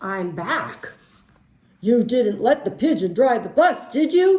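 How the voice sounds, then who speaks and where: Putting on a character voice, a man speaks at an extremely high pitch with very wide swings up and down. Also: fairly slow pace. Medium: read story.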